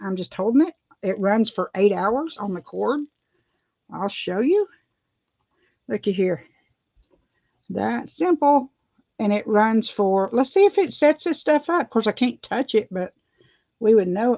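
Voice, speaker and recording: With an Appalachian accent, a woman speaks in a fairly high, dark and mellow voice with lively intonation and long, frequent pauses, the sound dry and close with no echo. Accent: Southern US (Appalachian). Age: 50s. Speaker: beauty vlogger. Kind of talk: casual livestream tutorial. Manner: chatty, rambling with hesitations.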